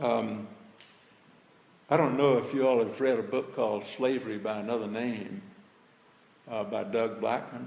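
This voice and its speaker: In a Southern US accent, a man talks at a moderate pace with ordinary pitch variation and long, frequent pauses, with audible room echo. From Birmingham, Alabama. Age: 80s+. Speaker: retired pastor speaking on civil rights history. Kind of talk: talk to high school students.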